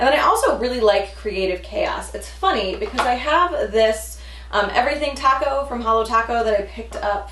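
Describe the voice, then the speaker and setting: Speech at a moderate pace comes with an audible room echo. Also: woman. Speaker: beauty youtuber. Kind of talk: product review.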